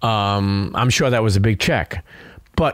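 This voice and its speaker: A man speaks with a New York accent. He keeps a moderate pace. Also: very clean recording, silent background. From New York, Brooklyn. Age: 40s. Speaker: podcaster and former sneaker seller. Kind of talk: casual chat. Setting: studio. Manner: halting.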